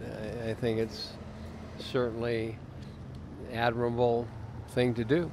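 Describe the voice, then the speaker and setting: Fairly slow and full of long, frequent pauses, a man talks at a medium pitch. His intonation is fairly even, and audible room echo surrounds the voice. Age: 70s. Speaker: passer-by interviewed about veganism. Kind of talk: street interview.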